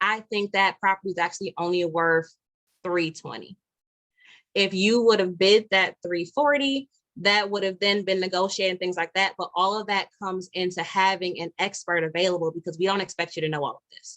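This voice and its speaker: A woman's medium-pitched voice at a fairly quick pace, with ordinary pitch variation and a dry, close sound with no echo. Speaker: realtor. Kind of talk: live webinar presentation. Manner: fast.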